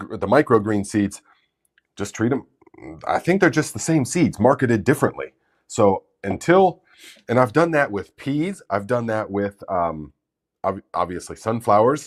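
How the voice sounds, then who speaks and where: A man with very wide pitch swings at a moderate pace, long, frequent pauses, and a very clean recording with a silent background. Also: medium pitch for a man. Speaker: gardening YouTuber. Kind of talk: live stream Q&A. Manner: casual, halting with fillers.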